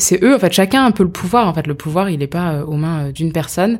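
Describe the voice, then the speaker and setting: A woman's normal speaking voice, fairly low in pitch, at a fairly quick pace. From France, of Indian descent. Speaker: startup co-founder. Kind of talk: interview. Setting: host's home.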